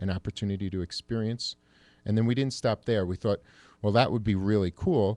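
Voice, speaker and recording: In a dry, close recording with no echo and a quiet background, a man with a New York accent speaks in a dark, mellow tone. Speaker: salon owner. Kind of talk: radio talk show interview. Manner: enthusiastic.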